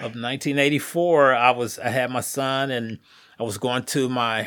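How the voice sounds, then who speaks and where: With an American accent, a man talks at a fairly slow pace in a bright, sharp tone and fairly even intonation. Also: very clean recording, silent background. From Indianapolis, US Midwest. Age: 60s. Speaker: Navy veteran. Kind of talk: life-story interview.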